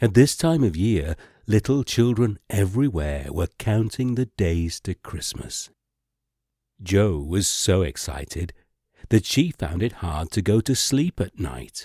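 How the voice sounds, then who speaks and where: A fairly low, somewhat breathy male voice with very wide pitch swings. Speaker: narrator. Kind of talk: sleep story. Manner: soft, slow, soothing.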